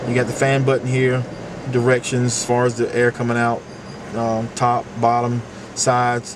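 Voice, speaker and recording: A man speaks over noticeable background noise. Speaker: car salesman. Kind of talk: product walkthrough. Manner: fast.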